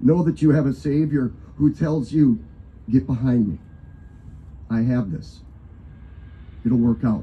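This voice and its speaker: A somewhat breathy man with an American accent speaks at a medium pitch. His pace is fairly slow, with long, frequent pauses. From Wisconsin, Johnson Creek; Wisconsin. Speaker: pastor. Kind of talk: invocation sermon. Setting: live event with audience.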